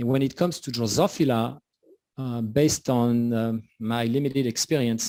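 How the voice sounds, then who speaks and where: A man's dark, mellow voice with a French accent, in a very clean recording with a silent background. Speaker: scientist presenting research. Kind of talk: conference talk. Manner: hesitant, many fillers.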